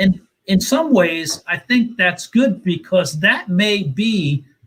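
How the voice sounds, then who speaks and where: With a New Jersey accent, a man talks using lively intonation. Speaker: racing team owner. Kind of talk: panel discussion. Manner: halting.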